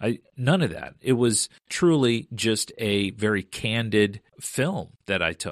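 An ordinary speaking voice from a man, fairly low in pitch with lively intonation, on a very clean recording with a silent background. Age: 40s. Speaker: woodworking YouTuber. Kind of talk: casual chat.

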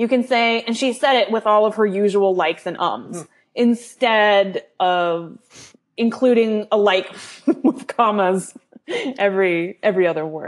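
A woman speaks in a Californian accent at a fairly slow pace. Her voice sits fairly high in pitch with ordinary pitch variation. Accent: Californian American. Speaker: copy editor. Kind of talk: casual panel discussion.

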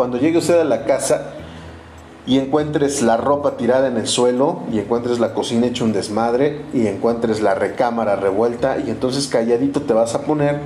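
A man talks at a moderate pace and medium pitch, with ordinary pitch variation. Room echo is audible, and background noise is noticeable. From Mexico, Orizaba, Veracruz. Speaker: astrology podcaster. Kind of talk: casual monologue. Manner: hesitant, filler-heavy.

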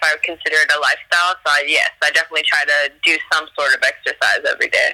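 A woman speaks over noticeable background noise. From US South. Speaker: kickboxing gym worker and radio personality. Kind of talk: casual interview.

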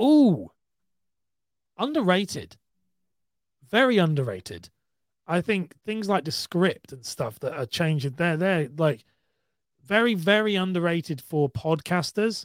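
With a British accent, a man speaks in a high voice with lively intonation at a fairly slow pace, leaving long, frequent pauses, in a dry, close sound with no echo. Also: very clean recording, silent background. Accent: British, sometimes taken for Australian. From UK. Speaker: podcaster and content creator. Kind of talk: casual chat.

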